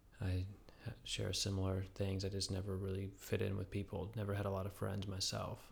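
This man speaks at a fairly quick pace in a fairly low pitch, with vocal fry, very even loudness and monotone, flat intonation. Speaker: podcast co-host. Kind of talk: casual chat.

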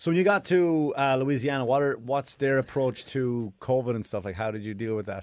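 A man with an Irish accent, medium pitch, a fairly quick pace and hardly any pauses. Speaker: comedian and podcast host. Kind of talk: casual chat.

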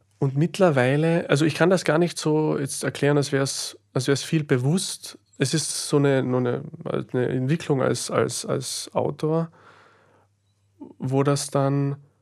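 This man speaks with a Slovenian accent at a fairly high pitch. His intonation stays fairly even, and his pace is fairly slow. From Austria, Carinthia (Klagenfurt), Carinthian Slovene. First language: Slovene (speaking German). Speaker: author and philosopher. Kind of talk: interview. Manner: halting, many fillers.

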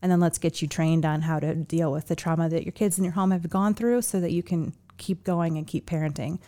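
On a very clean recording with a silent background, a woman with an unremarkable speaking voice talks at a fairly low pitch and a fairly quick pace, with hardly any pauses. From Chicago, US Midwest. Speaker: nonprofit founder and executive director. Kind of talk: interview.

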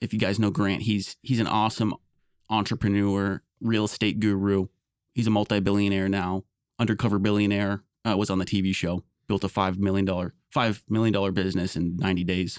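In a very clean recording with a silent background and a dry, close sound with no echo, a man speaks at a fairly quick pace with monotone, flat intonation and very even loudness. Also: fairly low pitch for a man. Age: 20s. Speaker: podcast co-host. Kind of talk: casual chat.

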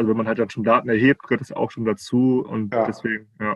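Delivering his words at a very fast pace, a man with a medium pitch keeps a monotone, flat intonation. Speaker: teacher trainee, recent graduate. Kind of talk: casual interview conversation. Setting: video call. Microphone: muffled sound in places.

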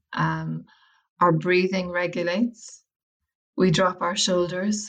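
A woman's fairly low voice in an Irish accent, with fairly even intonation. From Ireland, County Wicklow. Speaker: academic and well-being practitioner, author. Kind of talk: interview.

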